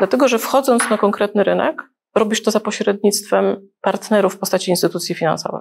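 A woman's fairly quick speech with ordinary pitch variation and vocal fry. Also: medium pitch for a woman, very even loudness. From Gdańsk, Poland. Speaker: wealth advisor, channel host. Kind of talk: interview.

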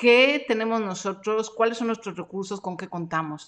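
The background is quiet as a woman talks at a fairly quick pace. Her pitch is fairly high, with ordinary pitch variation. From Mexico. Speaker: podcast host and freelance coach. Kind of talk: live-streamed training session. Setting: home studio live stream.

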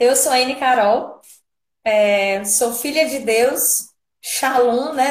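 This woman's voice sits at a high pitch. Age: 30s. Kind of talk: testimony.

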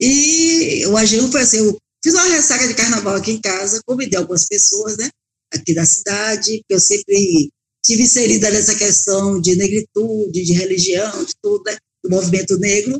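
With a plain, everyday voice, a woman talks at a moderate pace and fairly high pitch, her intonation lively and the sound dry and close with no echo. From Bahia, Brazil. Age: 60s. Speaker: restaurant owner and cook. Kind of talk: interview.

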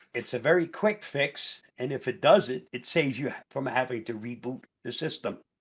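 This is a normal speaking voice with ordinary pitch variation. It moves at a moderate pace with hardly any pauses. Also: man, medium pitch for a man. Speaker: co-host. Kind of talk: casual chat.

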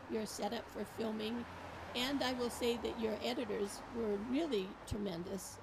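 Over noticeable background noise, a woman talks at a moderate pace in a fairly high voice. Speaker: librarian. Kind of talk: casual chat. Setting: outdoors.

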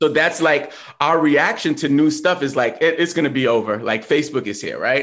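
With an American accent, a man speaks at a moderate pace. His fairly high voice shows ordinary pitch variation. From New York. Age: 40s. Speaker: social media coach and hip-hop producer. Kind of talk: casual interview. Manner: animated.

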